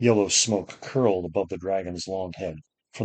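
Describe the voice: Someone does plain reading aloud here. Little noise sits behind the voice.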